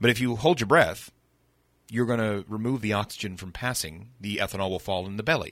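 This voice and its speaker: An ordinary speaking voice from a man with an American accent, fairly low pitch and ordinary pitch variation, on a very clean recording with a silent background. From Northern California, Sonoma County. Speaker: distillery hospitality coordinator. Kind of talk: casual chat.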